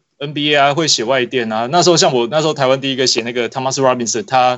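A man talks at a medium pitch. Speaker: basketball magazine editor. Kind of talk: casual chat.

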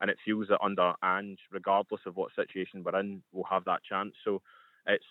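A man talks at a fairly quick pace. He has a Scottish accent. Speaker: football fan contributor. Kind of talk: radio sports talk.

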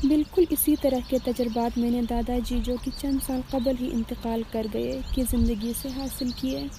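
A woman speaks in a high pitch with monotone, flat intonation. Noticeable background noise sits behind her. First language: Burushaski and Khowar (speaking Urdu). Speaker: student. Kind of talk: scripted narration. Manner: formal.

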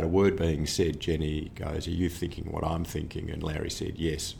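A man with an Australian accent has a very deep, low pitch and a dark, mellow, somewhat breathy tone. He speaks at a moderate pace, with audible room echo. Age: 60s. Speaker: orthopaedic surgeon. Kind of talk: interview.

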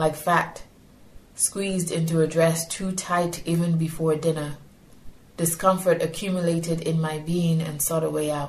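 A somewhat breathy woman, fairly low in pitch, at a moderate pace with monotone, flat intonation. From Nigeria. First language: Yoruba. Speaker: poet and educator. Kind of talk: interview with poetry reading. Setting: poetry festival.

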